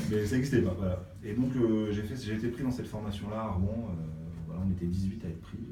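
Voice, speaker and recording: Man with a somewhat breathy, dark, mellow tone, ordinary pitch variation, a very fast pace and audible room echo. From Brittany, France (Brest). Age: 40s. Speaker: music industry programmer and artist manager. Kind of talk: interview. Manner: hesitant, many fillers.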